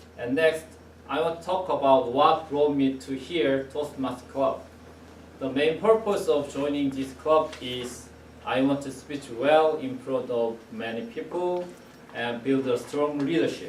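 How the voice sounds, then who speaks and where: Fairly slow speech in a Korean accent, with ordinary pitch variation, noticeable background noise and audible room echo. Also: man, fairly high pitch for a man. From South Korea. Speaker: club member giving first speech. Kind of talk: prepared speech. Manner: halting.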